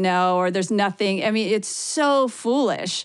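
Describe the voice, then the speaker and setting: Over a quiet background, the words come at a moderate pace. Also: woman. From US Midwest, Ohio. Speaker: author. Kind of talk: interview.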